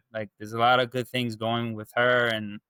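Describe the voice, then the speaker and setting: A man with a Long Island accent, medium in pitch and bright, sharp in tone, at a fairly quick pace with fairly even intonation, in a dry, close sound with no echo. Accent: New York (Long Island). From Long Island, New York. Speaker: dating coaching client. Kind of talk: interview testimony. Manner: halting, many fillers and repeats.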